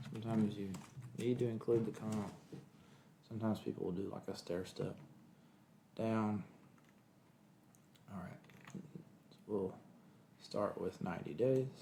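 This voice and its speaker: With a Kentucky accent, a man speaks at a moderate pace and fairly low pitch with ordinary pitch variation and long, frequent pauses, over noticeable background noise. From Kentucky, US. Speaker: lawyer. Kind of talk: tutorial. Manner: casual, thinking aloud.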